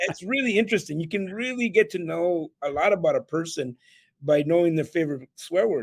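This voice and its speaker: A man with a Spanish accent and high pitch, lively intonation at a moderate pace, in a dry, close, very clean recording with a silent background. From El Salvador, raised in Canada. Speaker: keynote speaker and real estate entrepreneur. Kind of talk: podcast interview.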